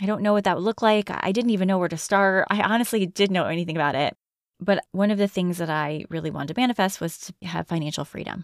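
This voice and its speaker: A woman with an American accent speaks at a very fast pace. The recording is very clean, with a silent background. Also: medium pitch for a woman, ordinary pitch variation, dry, close sound with no echo. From Connecticut. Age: 40s. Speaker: podcast host. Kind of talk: solo reflective monologue.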